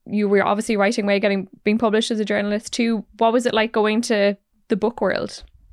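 A woman's fairly high voice, very clean recording with a silent background. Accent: Irish. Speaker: podcast host. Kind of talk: interview.

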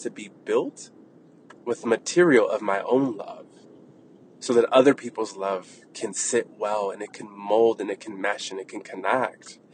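A man's loudness swings widely. Noticeable background noise runs beneath his voice. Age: 30s. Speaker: wellness podcast host. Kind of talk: casual monologue. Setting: in a car.

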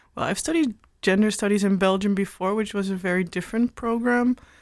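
A woman with a Dutch accent and ordinary pitch variation on a very clean recording with a silent background. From Netherlands. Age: 20s. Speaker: gender studies student. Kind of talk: casual chat. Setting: studio.

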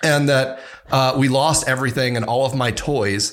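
A man with an ordinary speaking voice talks at a moderate pace and a fairly high pitch. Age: 30s. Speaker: chief security officer. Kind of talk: casual interview.

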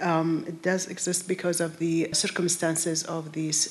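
A woman with a fairly low pitch speaks at a moderate pace in a monotone, flat intonation, with audible room echo and noticeable background noise. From Iraq. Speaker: nonprofit director, panelist. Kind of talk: panel discussion. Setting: live town hall with audience.

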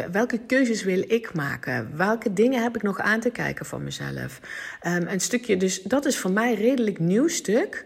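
A woman speaks at a moderate pace in a fairly high pitch, with lively intonation. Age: 40s. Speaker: podcast host, personal development coach. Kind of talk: solo monologue podcast. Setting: at home on the couch. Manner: halting.

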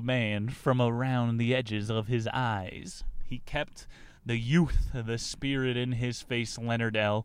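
In a very clean recording with a silent background, a man uses an ordinary speaking voice at a fairly slow pace, with a medium pitch and fairly even intonation. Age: 20s. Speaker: podcast host and comedian. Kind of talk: casual book-discussion podcast monologue.

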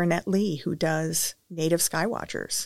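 In a western Canadian accent, a woman speaks at a moderate pace with a fairly low pitch and flat, monotone intonation, recorded very cleanly against a silent background. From Saskatchewan, Canada. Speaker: education researcher. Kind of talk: interview.

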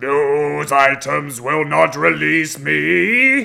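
Bellowing in a put-on character voice, a man with a fairly high pitch speaks at a very slow pace.

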